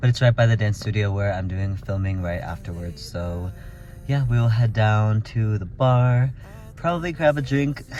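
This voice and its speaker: Music plays behind a man whose fairly low voice has lively intonation and a moderate pace. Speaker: dancer and vlogger. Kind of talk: casual vlog talk. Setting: at home. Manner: casual, filler-heavy speech; loud.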